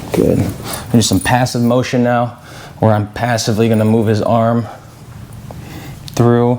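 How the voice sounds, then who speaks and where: Over noticeable background noise, a man with a medium pitch talks in a calm tone with monotone, flat intonation. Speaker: chiropractor. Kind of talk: casual talk to camera. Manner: calm, instructional.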